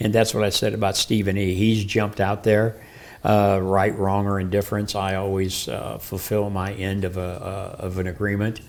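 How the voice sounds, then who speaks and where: A man speaks at a moderate pace and a fairly low pitch. His intonation is monotone and flat on a very clean recording with a silent background. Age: 70s. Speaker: wrestling promoter. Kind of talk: wrestling promo interview. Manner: halting.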